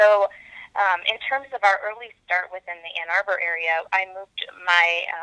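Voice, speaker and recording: Her pitch moves in an ordinary way. The woman has an American accent. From US Midwest, metro Detroit, Michigan. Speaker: health tech company co-founder and CEO. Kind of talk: interview.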